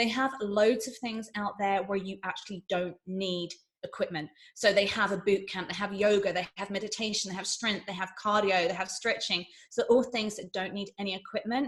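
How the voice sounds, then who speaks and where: Somewhat breathy, a woman speaks with an English accent. Her pitch is medium and her intonation fairly even. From England. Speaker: beauty and fitness presenter. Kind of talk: tutorial presentation. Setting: virtual summit presentation. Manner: fast.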